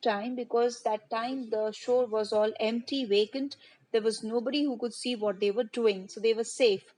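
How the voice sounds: It's a natural reading voice with fairly even intonation.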